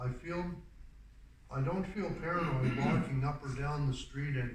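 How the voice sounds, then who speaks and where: At a moderate pace and very even loudness, the voice comes through noticeable background noise and audible room echo. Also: man, fairly high pitch for a man, ordinary pitch variation. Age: 60s. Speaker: community theatre actor sharing lived experience. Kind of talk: prepared personal talk.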